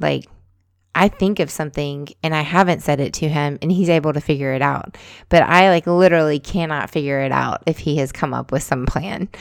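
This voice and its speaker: A woman speaks at a fairly quick pace. Her pitch is very deep and low, with fairly even intonation. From US South. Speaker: podcast host. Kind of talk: casual chat.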